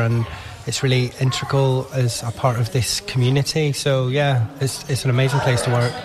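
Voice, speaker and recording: Moderately paced speech from a man at a medium pitch, noticeable noise in the background. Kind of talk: radio interview.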